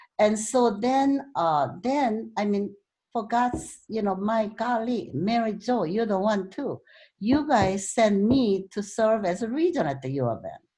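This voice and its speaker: A woman with a slight Korean accent speaks at a fairly slow pace with a fairly high pitch, lively intonation, a dark, mellow tone and a somewhat breathy quality. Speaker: club speaker, author. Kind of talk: talk to club meeting.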